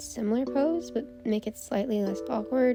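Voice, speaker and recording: With music playing in the background, a woman speaks fairly slowly with lively intonation. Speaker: digital artist. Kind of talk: casual voiceover narration over drawing footage. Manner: hesitant, casual, many filler words.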